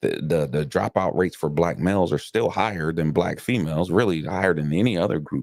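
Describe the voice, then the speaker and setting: A man with an American accent, very deep and low in pitch, fairly quick with hardly any pauses and ordinary pitch variation. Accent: Southern accent coming back. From South Carolina, then Delaware. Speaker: podcast host. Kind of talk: casual chat. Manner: repetitive filler words, stammering starts.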